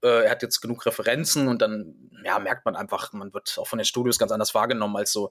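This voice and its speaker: The man talks at a fairly quick pace. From Germany, Hanover. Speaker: voice actor. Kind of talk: interview.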